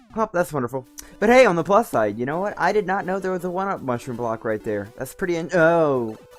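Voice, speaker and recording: Over music in the background, a man speaks very fast in a high pitch with very wide pitch swings. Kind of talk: casual gameplay stream commentary. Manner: unenthusiastic.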